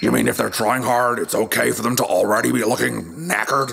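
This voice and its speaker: Over clear background noise, a man rattles off lines very fast in a put-on character voice. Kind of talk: audio drama fitness workout.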